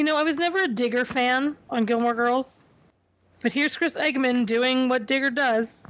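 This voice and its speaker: Speaking at a moderate pace, a woman with a high pitch keeps her loudness very even and her pitch variation ordinary. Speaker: podcast host. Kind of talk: casual chat.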